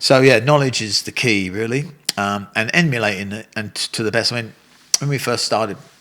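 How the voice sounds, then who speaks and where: A man at a medium pitch, talking at a fairly quick pace with ordinary pitch variation over noticeable background noise. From England, North London. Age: 60s. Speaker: Muay Thai coach and former fighter. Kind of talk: casual interview chat. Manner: animated.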